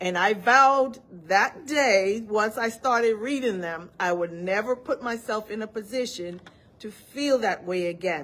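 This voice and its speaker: Someone with a Virgin Islands accent talks at a fairly slow pace with ordinary pitch variation. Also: woman, fairly high pitch for a woman. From US Virgin Islands. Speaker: study group instructor. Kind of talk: live online study session talk. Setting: live video session.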